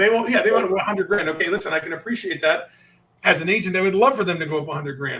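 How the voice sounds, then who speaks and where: A man's high, raised and projected voice, animated in tone, very fast, with ordinary pitch variation. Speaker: sales coach. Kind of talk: interview with role-play of sales objections.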